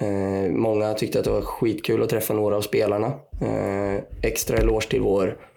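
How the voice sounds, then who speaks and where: The speaker is a man. He talks at a moderate pace. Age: 20s. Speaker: podcast panelist, supporter. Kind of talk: casual chat.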